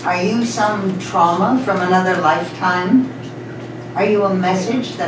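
Over noticeable background noise and audible room echo, a woman speaks at a fairly slow pace with fairly even intonation. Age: 80s+. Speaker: poet. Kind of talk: poetry reading. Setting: live book launch event. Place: cafe.

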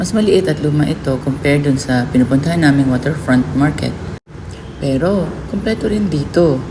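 Lively intonation carries at a fairly slow pace, with audible room echo and noticeable background noise. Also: woman. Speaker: vlogger. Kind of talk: vlog narration. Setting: outdoor market.

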